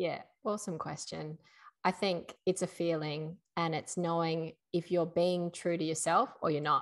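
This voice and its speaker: A woman with an Australian accent speaks in a fairly low pitch at a moderate pace. Her intonation is fairly even, and the background is quiet. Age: 30s. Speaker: podcast co-host. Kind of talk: casual chat.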